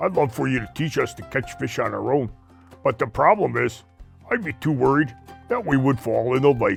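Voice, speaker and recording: A man's cartoonish character voice at medium pitch and moderate pace, with clear music in the background. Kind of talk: children's puppet show.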